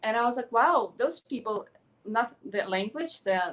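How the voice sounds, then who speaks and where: A woman's fairly high voice in a Ukrainian accent at a fairly slow pace. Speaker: actress and pageant contestant. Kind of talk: interview. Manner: animated.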